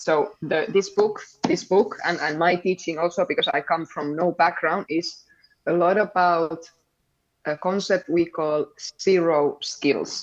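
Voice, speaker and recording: This woman's pitch is fairly low and her intonation fairly even. Her pace is very slow. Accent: Finnish. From Finland. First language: Finnish. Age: 30s. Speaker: padel coach. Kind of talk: interview.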